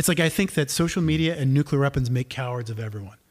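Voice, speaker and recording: A man speaks with an American accent in a somewhat breathy voice. The recording is very clean, with a silent background. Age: 50s. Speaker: podcast co-host. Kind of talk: casual chat.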